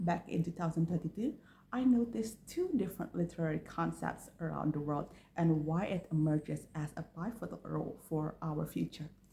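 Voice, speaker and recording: A woman with a dark, mellow tone and vocal fry speaks at a fairly quick pace in a fairly low pitch, her voice rising and falling in very wide swings. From Indonesia. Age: 20s. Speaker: university student. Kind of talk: application introduction video.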